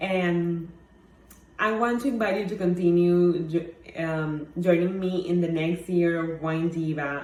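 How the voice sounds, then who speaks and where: A woman with a Mexican accent talks at a fairly slow pace and fairly low pitch, using fairly even intonation. Audible room echo surrounds her voice. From Mexico. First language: Spanish. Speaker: wine blogger. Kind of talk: personal talk. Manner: halting, many fillers.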